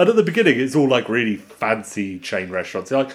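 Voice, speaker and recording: A man with an ordinary speaking voice, medium in pitch, at a fairly quick pace. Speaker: podcast co-host. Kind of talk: casual chat podcast.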